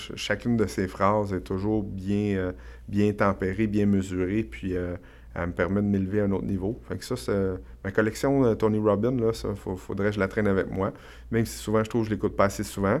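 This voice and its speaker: A man in a Quebec accent, fairly low in pitch, with ordinary pitch variation and a moderate pace. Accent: Québécois French. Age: 40s. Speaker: real estate investor and entrepreneur. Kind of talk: podcast interview. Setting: studio.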